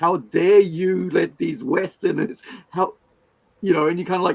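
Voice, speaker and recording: Lively in intonation, a man with a fairly high pitch speaks with vocal fry. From Fiji. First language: Hindi. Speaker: comic writer and show host. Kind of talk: casual interview chat.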